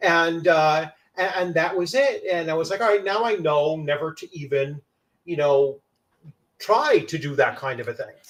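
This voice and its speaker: A man speaks loudly in a high voice. His pace is moderate and his pitch varies in an ordinary way. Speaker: tabletop game channel host. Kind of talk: casual chat.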